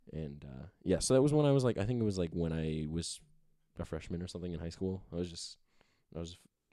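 A man with an American accent talks at a very fast pace, his pitch very deep and low with ordinary variation. His tone is dark and mellow, and his loudness swings a lot. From Cleveland, Ohio. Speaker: soccer podcast host. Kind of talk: casual chat.

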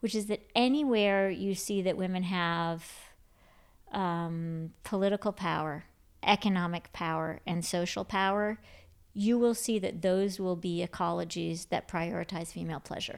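A woman with an American accent has an unremarkable speaking voice, medium in pitch with ordinary variation, at a moderate pace. The recording is very clean, with a silent background. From Michigan, Grand Rapids. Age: 50s. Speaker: author. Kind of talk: interview. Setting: at home.

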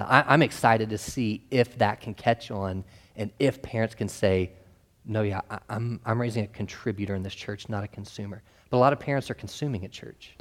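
Recorded very cleanly against a silent background, a man with an ordinary speaking voice and fairly low pitch keeps a fairly even intonation amid big swings in loudness. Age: 30s. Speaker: youth minister. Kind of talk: panel discussion.

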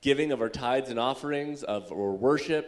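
A man's plain, everyday voice, with ordinary pitch variation and a moderate pace, on a very clean recording with a silent background. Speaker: church service leader. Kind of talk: announcements and prayer. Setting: church.

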